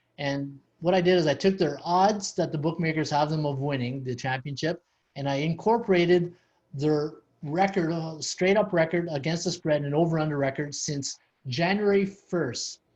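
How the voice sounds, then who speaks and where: With a Canadian accent, a man speaks at a moderate pace in an unremarkable speaking voice, fairly high in pitch with ordinary pitch variation. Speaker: sports betting podcast host. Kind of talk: podcast discussion.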